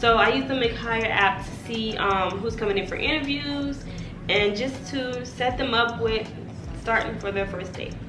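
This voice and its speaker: Over noticeable background noise and audible room echo, a woman speaks at a moderate pace. Her fairly high pitch carries lively intonation. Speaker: lifestyle vlogger. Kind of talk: casual vlog tutorial. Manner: animated.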